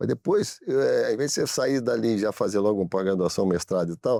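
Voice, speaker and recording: A man talks at a fairly quick pace in a dark, mellow tone. The sound is dry and close with no echo, on a very clean recording with a silent background. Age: 60s. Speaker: business owner. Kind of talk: studio interview. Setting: studio. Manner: halting, many repetitions.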